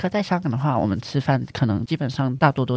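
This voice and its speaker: A man speaks at a very fast pace at a medium pitch, with vocal fry. The recording is very clean and the background silent. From Hong Kong. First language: Cantonese (speaking Chinese). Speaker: university student. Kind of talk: casual chat.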